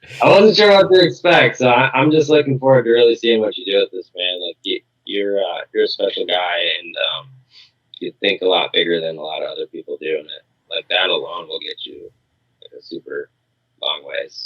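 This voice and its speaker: A man mumbles at a fairly quick pace in an Upper Midwest accent. His loudness swings a lot. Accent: Upper Midwest American. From Minnesota. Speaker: pest control business owner. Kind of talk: podcast interview. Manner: mumbling.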